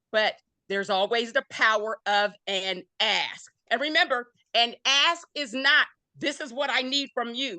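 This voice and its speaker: Her voice is high-pitched, bright and sharp, with an animated tone and lively intonation as this woman talks at a fairly slow pace, the sound dry and close with no echo. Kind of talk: panel talk.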